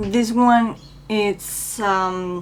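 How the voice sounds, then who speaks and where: A voice with a Spanish accent and ordinary pitch variation, music playing in the background. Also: woman. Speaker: beauty vlogger. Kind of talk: makeup tutorial. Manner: halting, with many fillers.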